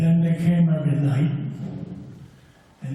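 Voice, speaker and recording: A man's high-pitched voice with audible room echo and noticeable background noise. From Germany, Mannheim. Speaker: former paratrooper, war witness. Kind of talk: personal testimony. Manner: unprepared.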